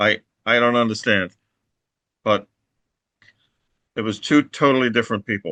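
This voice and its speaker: Speaking at a moderate pace and medium pitch in an American accent, a man has a bright, sharp tone, fairly even intonation, and long, frequent pauses. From US Northeast, Long Island New York. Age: 60s. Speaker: anarchist activist. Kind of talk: oral history interview. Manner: halting, with fillers and restarts.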